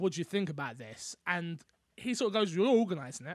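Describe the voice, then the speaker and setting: In a London accent, a man speaks at a high pitch with lively intonation. The recording is very clean, with a silent background. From London, England. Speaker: content creator and podcaster. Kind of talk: casual interview chat.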